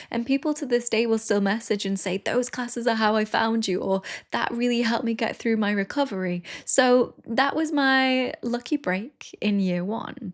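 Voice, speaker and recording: The speech moves at a moderate speed, its pitch varying in an ordinary way. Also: woman, fairly high pitch for a woman. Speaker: yoga teacher and YouTuber. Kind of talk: casual talk to camera.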